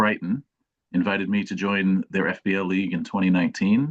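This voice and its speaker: In a normal speaking voice with an American accent, the speech moves at a moderate pace with ordinary pitch variation. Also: man, dry, close sound with no echo. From United States. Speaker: fantasy football content creator. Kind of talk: casual interview chat.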